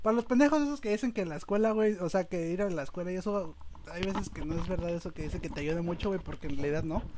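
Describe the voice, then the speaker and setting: A man with a high voice and lively intonation rushes along at a very fast pace, with noticeable background noise. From Mexico, Guerrero. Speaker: podcast host. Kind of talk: casual chat.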